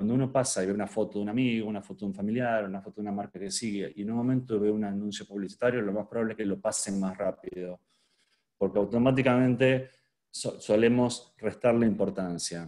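Against a quiet background, a man with a dark, mellow tone and fairly low pitch speaks very fast with fairly even intonation. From Argentina. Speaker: luxury hotel marketing specialist; presenter. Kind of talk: online workshop talk; lecture. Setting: video call with screen sharing. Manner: hesitant, many fillers and repetitions. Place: home room. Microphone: webcam.

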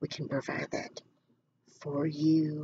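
A woman's somewhat breathy, dark and mellow voice at a very slow pace, monotone and flat, with noticeable background noise. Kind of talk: casual explanation to viewers. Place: home room.

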